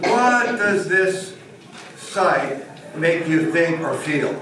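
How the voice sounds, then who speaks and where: A man speaks with clear room echo and noticeable noise in the background. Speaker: church member giving adult education talk. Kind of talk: lecture. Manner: loud.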